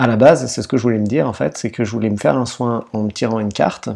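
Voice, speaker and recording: A man speaks at medium pitch with a dark, mellow tone. He talks at a fairly quick pace. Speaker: energy healer and meditation guide. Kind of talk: casual talk to camera. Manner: conversational, friendly.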